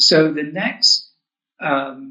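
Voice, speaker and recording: A man's fairly high voice in a southern English accent. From England, Oxford. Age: 70s. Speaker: author and UFO experiencer. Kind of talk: interview storytelling. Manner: halting, with repeated words.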